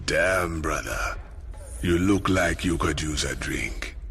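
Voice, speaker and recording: Over clear background noise, a put-on character voice talks at a fairly slow pace. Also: man. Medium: video game. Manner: drawling, philosophical.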